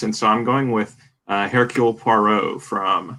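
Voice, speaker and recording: Bright and sharp in tone, a man of medium pitch speaks with a Southern US accent. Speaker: film draft panelist. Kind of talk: casual chat.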